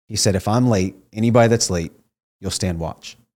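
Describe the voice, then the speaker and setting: A man with a Midwestern American accent talks very fast in a dark, mellow tone at a fairly low pitch with ordinary pitch variation, in a very clean recording with a silent background. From Ohio, small town. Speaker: former Navy SEAL and network marketing entrepreneur. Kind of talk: casual interview.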